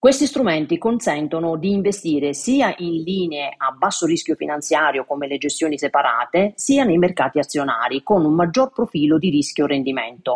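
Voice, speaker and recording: In a dry, close sound with no echo, a woman with a very deep, low pitch talks at a moderate pace with lively intonation and hardly any pauses. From Italy, Matera (Basilicata). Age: 50s. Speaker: financial and insurance advisor. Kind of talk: expert explanation. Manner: formal.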